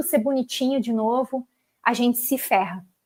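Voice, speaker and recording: A woman's high-pitched voice at a moderate pace, with fairly even intonation and a dry, close sound with no echo. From southern Brazil, Porto Alegre. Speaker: karmic astrologer. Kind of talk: live-stream talk.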